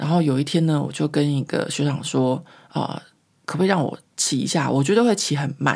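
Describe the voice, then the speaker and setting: A woman's very deep, low voice at a moderate pace. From Taiwan. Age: 40s. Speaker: podcast host. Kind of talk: casual storytelling monologue. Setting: home recording.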